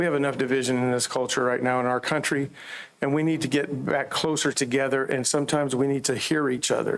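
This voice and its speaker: A man talks at a very fast pace in a fairly high pitch. His intonation is monotone and flat, and his loudness stays very even. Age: 60s. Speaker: campus minister. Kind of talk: public comment.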